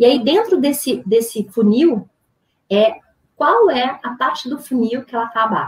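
Big swings in loudness come through as a woman speaks at a fairly slow pace. Her pitch is high and her intonation lively. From Brazil. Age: 40s. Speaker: business founder and CEO. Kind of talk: interview conversation.

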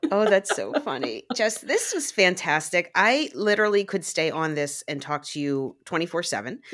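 With an American accent, a woman speaks in a medium-pitched voice with very wide pitch swings and hardly any pauses. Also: moderate pace. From Pittsburgh area, US. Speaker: podcast co-host. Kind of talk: casual chat.

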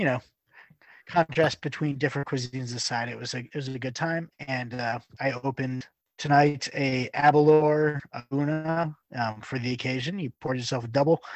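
Using a plain, everyday voice, a man speaks at a moderate pace and medium pitch with fairly even intonation. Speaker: Sunday school teacher. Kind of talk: casual chat.

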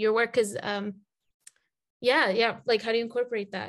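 In a quiet background, a woman talks in a fairly high pitch with an American accent. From US South, Atlanta. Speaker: podcast host. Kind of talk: casual interview. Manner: hesitant, many fillers.

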